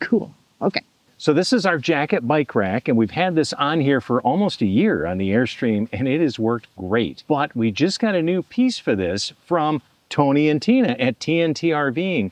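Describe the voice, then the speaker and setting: Over a quiet background, a man speaks at a moderate pace in a dry sound with no echo. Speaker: campground host. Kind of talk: casual vlog tutorial. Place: open country. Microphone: phone near.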